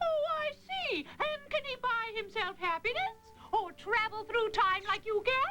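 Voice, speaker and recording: A cartoonish character voice that sounds female speaks at a moderate pace with an extremely high pitch, over clear music in the background. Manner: breezy, cheeky.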